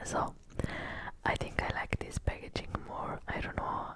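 A woman's whispered voice. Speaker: ASMR creator. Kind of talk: ASMR show and tell haul. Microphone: studio mic.

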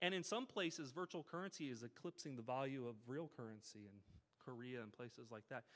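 With an American accent, a man talks at a fairly quick pace, his intonation lively. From US Midwest (Missouri). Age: 40s. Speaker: game company founder and CEO; conference speaker. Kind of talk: talk to a school audience. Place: hall. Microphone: podium.

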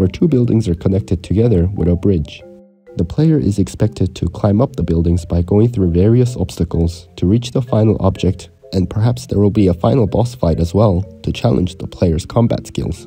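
Music plays in the background as a man with a very deep, low pitch talks at a fairly quick pace with lively intonation. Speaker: indie game developer. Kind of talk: devlog narration.

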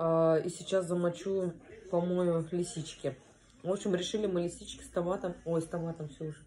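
A woman's fairly low, flat, monotone voice at a moderate pace over light background noise. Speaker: home vlogger. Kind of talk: casual vlog chat. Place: kitchen. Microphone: phone near.

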